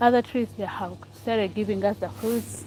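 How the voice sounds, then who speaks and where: A woman with a Ugandan accent talks at a moderate pace. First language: Ugandan local language. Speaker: vlogger. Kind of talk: casual vlog chat. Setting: outdoors by the road. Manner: halting, repetitive.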